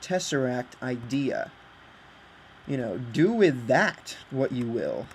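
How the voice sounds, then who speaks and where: Over noticeable background noise, a man with a fairly high pitch speaks very slowly with ordinary pitch variation. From Britain. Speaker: video game creator. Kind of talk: casual chat. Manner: halting, many fillers. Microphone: laptop built-in mic.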